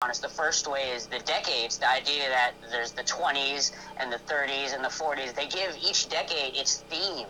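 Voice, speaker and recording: A fairly high-pitched man at a moderate pace, with music in the background. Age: 20s. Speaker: podcast guest. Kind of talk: casual chat. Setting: live stream.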